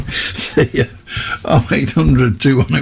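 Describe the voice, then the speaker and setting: A man's voice against noticeable background noise. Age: 70s. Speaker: radio phone-in host. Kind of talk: casual chat.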